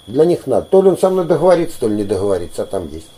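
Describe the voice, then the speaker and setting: Noticeable background noise behind a man at a fairly high pitch and a fairly quick pace. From Volgograd region, Don Cossack area. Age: 50s. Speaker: folk ensemble leader and teacher. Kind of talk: interview.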